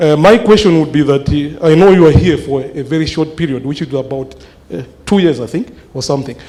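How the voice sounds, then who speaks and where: Speaking at a fairly quick pace, a man with a fairly high pitch and ordinary pitch variation is heard over noticeable background noise and audible room echo. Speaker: mathematics lecturer. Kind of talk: town hall question. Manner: loud; halting, many fillers.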